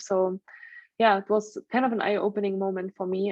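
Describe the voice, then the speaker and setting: A woman speaks fairly quickly in a German accent. Her intonation is monotone and flat. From Germany. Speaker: stress management trainer and coach. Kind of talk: interview.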